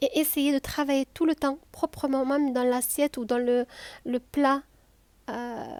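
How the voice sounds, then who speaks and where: A woman's high-pitched, relaxed, gentle voice, monotone and flat, at a fairly slow pace with long, frequent pauses, in a very clean, dry, close recording with a silent background and no echo. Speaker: cooking video host. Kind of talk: cooking tutorial. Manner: hesitant, with fillers and repetitions.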